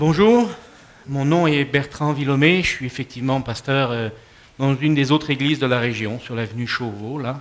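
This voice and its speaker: With a slight Quebec accent, a man speaks at a fairly slow pace and medium pitch, varying it in an ordinary way. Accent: French, slightly Quebec-tinged. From France. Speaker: pastor. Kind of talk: talk to an audience. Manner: hesitant, many fillers.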